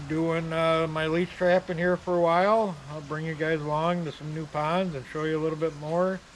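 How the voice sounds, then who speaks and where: With an American accent, a man talks at a moderate pace in a flat monotone, fairly high in pitch and hardly pausing. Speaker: leech trapper and bait shop owner. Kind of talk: casual outdoor how-to vlog. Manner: mumbling, many filler ums.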